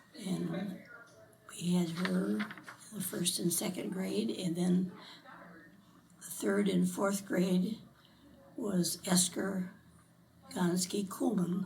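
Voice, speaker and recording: A woman with an American accent talks at a very slow pace and a fairly low pitch, her intonation lively, with audible room echo in the recording. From US Midwest, Elmore, Ohio. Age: 90s. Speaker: local resident interviewed for oral history. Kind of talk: oral history interview. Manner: halting.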